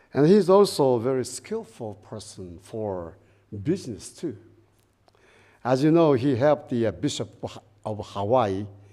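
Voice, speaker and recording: A man with a Japanese accent and a dark, mellow tone speaks at a fairly slow pace with lively intonation, in a very clean recording with a silent background. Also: long, frequent pauses, big swings in loudness. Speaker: guest minister. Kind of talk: dharma talk. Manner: reading from prepared paper; halting with fillers.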